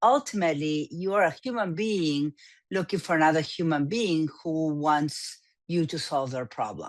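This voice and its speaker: Against a quiet background, a woman talks in an Argentine accent with lively intonation. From Argentina. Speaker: business coach. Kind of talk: interview.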